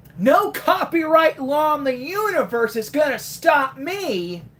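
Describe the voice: A put-on character voice with a high pitch moves at a fairly slow pace.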